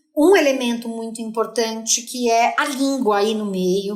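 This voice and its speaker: A high-pitched woman's animated voice at a fairly slow pace, with ordinary pitch variation, audible room echo and noticeable background noise. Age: 40s. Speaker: linguist and content creator. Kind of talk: podcast interview.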